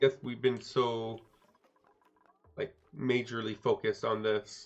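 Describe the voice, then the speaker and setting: A man's medium-pitched voice with a Quebec accent, fairly slow pace and monotone, flat intonation. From Quebec, Canada. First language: French. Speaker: video game streamer. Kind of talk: live gameplay commentary. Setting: live stream.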